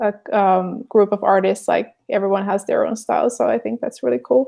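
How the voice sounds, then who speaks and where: A woman with a Finnish accent talks at a moderate pace. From Finland. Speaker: artist and show host. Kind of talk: casual chat. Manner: halting, many fillers.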